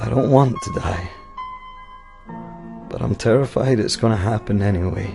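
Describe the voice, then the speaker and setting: Music plays behind a man with a fairly low voice and ordinary pitch variation. He keeps a moderate pace, with long, frequent pauses. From Scotland. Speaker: slam poet. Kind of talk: spoken word poetry performance. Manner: emotional.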